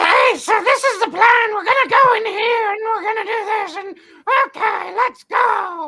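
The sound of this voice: Shouting at a moderate pace, a put-on character voice hits an extremely high pitch.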